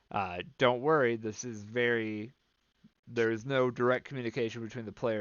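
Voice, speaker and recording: At a moderate pace, a man talks in an unremarkable speaking voice at a medium pitch. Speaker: game developer. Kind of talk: tutorial. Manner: casual with filler words.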